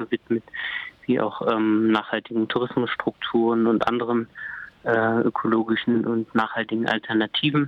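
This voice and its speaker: Noticeable background noise sits behind a man speaking at a moderate pace. His medium-pitched voice has monotone, flat intonation. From Thuringia, Germany. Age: 30s. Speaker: café owner and coffee roaster. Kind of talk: interview. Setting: phone call. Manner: hesitant, many filler sounds.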